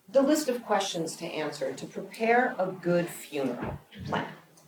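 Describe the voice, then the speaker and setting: Amid audible room echo, a woman at medium pitch speaks at a fairly slow pace, her pitch swinging very widely. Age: 60s. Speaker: documentary producer and speaker. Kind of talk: prepared public speech.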